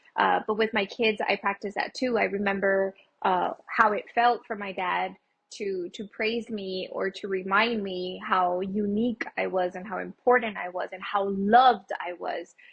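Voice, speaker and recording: Speaking with a Spanish accent, a woman keeps a moderate pace. Her voice is medium in pitch, with fairly even intonation. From Texas, El Paso. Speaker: small business owner. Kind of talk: interview.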